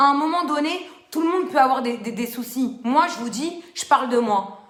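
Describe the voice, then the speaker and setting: A woman speaks loudly at a high pitch and a moderate pace, animated and with lively intonation. Audible room echo surrounds her voice. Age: 30s. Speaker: social media live host. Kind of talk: live stream talk to viewers.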